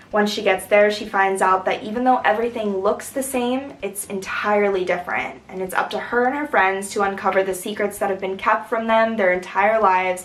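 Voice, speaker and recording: Over noticeable background noise, a woman at medium pitch talks at a fairly quick pace with hardly any pauses and fairly even intonation. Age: 20s. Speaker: writer. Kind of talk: casual vlog update.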